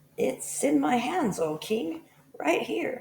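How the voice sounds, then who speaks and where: Speaking in a put-on character voice, the speaker sounds raspy and fairly high-pitched, moving at a very slow pace. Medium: read story. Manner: smooth, flattering.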